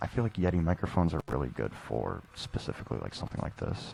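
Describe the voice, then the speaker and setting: A man's very deep, low voice at a very fast pace, with very wide pitch swings and music in the background. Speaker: video game streamer. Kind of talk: casual chat. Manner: halting; whispering. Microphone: too quiet and distorted dynamic mic.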